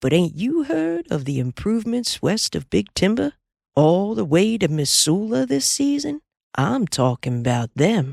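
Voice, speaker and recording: A put-on character voice at middle pitch, drawling at a moderate pace, on a very clean recording with a silent background. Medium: read story. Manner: drawling, amiable.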